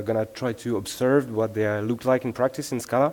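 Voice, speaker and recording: A man with a French accent, at a moderate pace. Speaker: software engineer, conference speaker. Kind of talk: conference talk. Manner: hesitant, many filler sounds.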